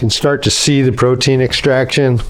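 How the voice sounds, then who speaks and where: At a moderate pace, a man with a fairly high pitch talks while noticeable background noise sounds behind him. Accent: American. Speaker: home cook and food video creator. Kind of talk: tutorial. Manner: casual, conversational.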